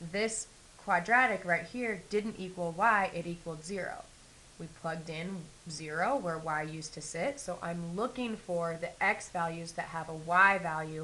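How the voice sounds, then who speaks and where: A woman speaks at a moderate pace in a fairly low voice with a bright, sharp tone and big swings in loudness. Audible room echo fills the space. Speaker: math teacher. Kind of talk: lecture.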